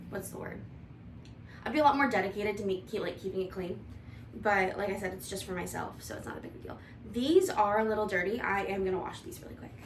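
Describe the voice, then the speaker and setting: A woman with an American accent talks at a very fast pace, her loudness swinging widely. Audible room echo surrounds her. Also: medium pitch for a woman, ordinary pitch variation. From US Midwest, Toledo, Ohio. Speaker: vlogger, IT analyst. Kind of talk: casual cooking vlog chat. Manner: mumbling.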